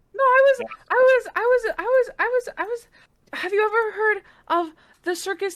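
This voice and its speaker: A woman does a put-on character voice that is squeaky and extremely high-pitched, moving at a moderate pace with long, frequent pauses. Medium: actual play. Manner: rambling, naive, stammering.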